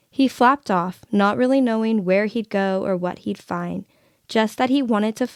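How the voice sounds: The speaker reads in a natural reading voice, and the pitch varies in an ordinary way.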